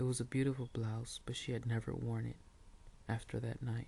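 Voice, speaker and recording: A man is soft-spoken. He talks at a moderate pace. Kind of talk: read story.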